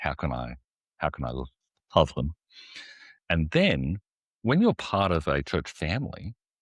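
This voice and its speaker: In a very clean recording with a silent background and a dry, close sound with no echo, a man with a very deep, low pitch and vocal fry talks at a fairly slow pace, using lively intonation and long, frequent pauses. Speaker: executive pastor. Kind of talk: interview answer.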